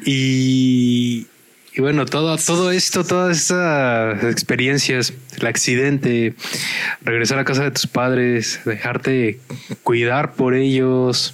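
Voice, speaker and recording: Over noticeable background noise, a man at a medium pitch talks at a very slow pace with very even loudness. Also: ordinary pitch variation. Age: 30s. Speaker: podcast co-host. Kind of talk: casual chat.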